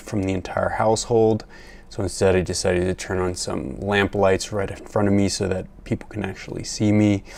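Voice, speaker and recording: Soft-spoken, a man talks at a moderate pace with fairly even intonation. His pitch is very deep and low. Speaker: science video creator. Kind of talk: video commentary on research. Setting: at home at night. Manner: quiet, soft-spoken. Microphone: new microphone.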